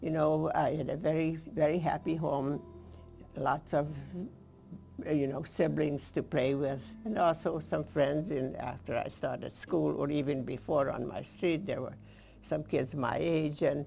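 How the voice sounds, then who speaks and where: With a Hungarian accent, a woman speaks at a fairly slow pace in a very deep, low pitch with ordinary pitch variation, amid audible room echo and music in the background. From eastern Hungary. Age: 80s+. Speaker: Holocaust survivor speaker. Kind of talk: lecture. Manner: halting.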